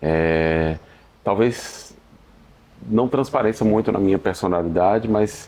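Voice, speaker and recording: A man talks fairly slowly, his fairly low voice showing ordinary pitch variation. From Sergipe, Brazil. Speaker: singer-songwriter. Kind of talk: interview answer. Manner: relaxed, hesitant.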